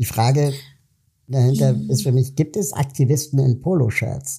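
Somewhat breathy, with a dark, mellow tone, a man speaks at medium pitch and a moderate pace. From Germany (West Berlin). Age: 40s. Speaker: podcast host, political activist. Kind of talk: interview.

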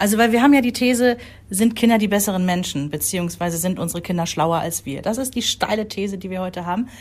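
A woman talks at a very fast pace with ordinary pitch variation. Her medium-pitched voice is somewhat breathy. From Rhineland, Germany. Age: 40s. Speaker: podcast co-host, mother. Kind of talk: casual chat.

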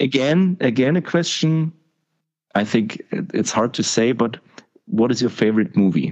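A man with a German accent and medium pitch speaks at a fairly slow pace with long, frequent pauses. His pitch swings very widely while his loudness stays very even. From East Germany. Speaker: podcast host. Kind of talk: casual interview.

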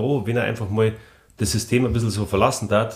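At a very fast pace, a man with a Bavarian accent talks in vocal fry with fairly even intonation. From Rosenheim, Upper Bavaria, Germany. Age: 40s. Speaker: former ice hockey player. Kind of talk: casual interview.

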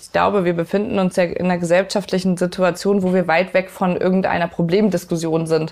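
Speaking at a fairly quick pace with hardly any pauses, a woman keeps a monotone, flat intonation at a medium pitch while her loudness swings widely. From northern Germany (Lübeck). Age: 30s. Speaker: police officer and climate activist. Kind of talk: interview. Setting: kitchen at home.

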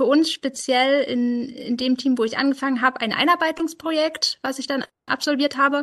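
Moderate pace and fairly even intonation. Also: woman. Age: 20s. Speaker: software developer and project lead. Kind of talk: interview. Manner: halting, many filler sounds.

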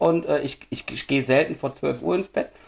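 A man talks at a moderate pace. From Düsseldorf, western Germany. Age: 40s. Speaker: homebrewer. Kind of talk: casual chat.

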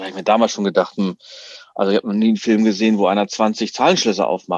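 This man's fairly low pitch comes with a very fast pace. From Berlin. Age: 40s. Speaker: escape room business owner. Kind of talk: casual interview.

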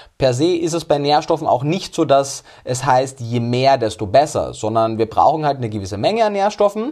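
Speaking with an Austrian accent at a moderate pace, a man uses a fairly high pitch and lively intonation, with hardly any pauses. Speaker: nutrition scientist. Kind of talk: interview.

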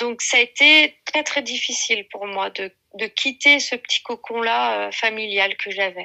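A woman's normal speaking voice, fairly slow, with ordinary pitch variation. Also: fairly high pitch for a woman. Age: 40s. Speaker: mother of eight sharing weight-loss story. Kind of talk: testimony.

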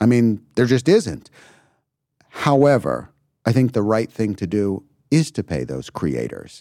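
A man speaks with a dark, mellow tone and very wide pitch swings. His pace is fairly slow, with long, frequent pauses. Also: medium pitch for a man. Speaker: music company CEO. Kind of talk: interview. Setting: live recording at a conference.

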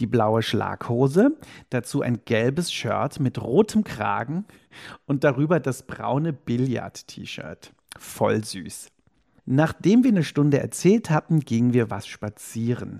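The recording has a dry, close sound with no echo, as a man speaks at a medium pitch and a very slow pace. His tone is dark and mellow, with lively intonation. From Cologne, western Germany. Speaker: diary slam performer. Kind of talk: reading aloud from own diary; casual interview chat.

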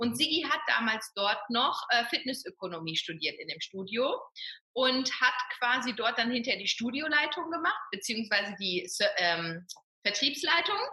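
A woman's high voice with very wide pitch swings. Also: moderate pace. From Ruhr area, western Germany. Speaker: fitness coach and personal trainer. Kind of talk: interview.

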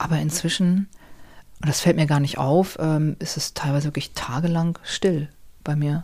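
The voice has a dark, mellow tone, is somewhat breathy, and moves at a moderate pace with fairly even intonation. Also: woman, very deep, low pitch for a woman. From Hamburg, northern Germany. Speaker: novelist. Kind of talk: casual interview. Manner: hesitant, many fillers.

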